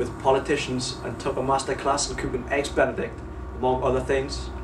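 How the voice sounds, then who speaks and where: In a Geordie accent, a man speaks at a fairly quick pace. Noticeable background noise and audible room echo are present. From northern England, North Shields. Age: 20s. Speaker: unemployed young person. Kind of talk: documentary interview.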